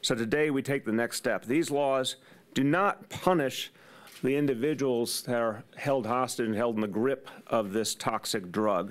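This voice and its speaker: Ordinary pitch variation colors a man's speech at a fairly slow pace. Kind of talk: press conference speech. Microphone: podium.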